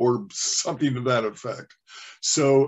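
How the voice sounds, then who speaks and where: This man's speech moves along at a fairly slow pace. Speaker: trainer. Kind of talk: training session. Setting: video call. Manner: halting.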